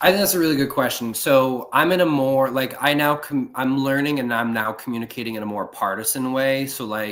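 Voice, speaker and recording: Speaking fairly quickly with hardly any pauses, a man with an American accent has an unremarkable speaking voice, medium in pitch with ordinary pitch variation. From Ohio, US Midwest. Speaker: political communications staffer. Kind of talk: casual podcast chat.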